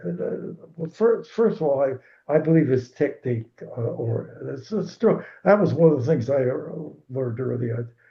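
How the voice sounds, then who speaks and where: A man talks in a somewhat breathy voice. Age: 80s+. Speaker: retired swim coach. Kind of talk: interview answer.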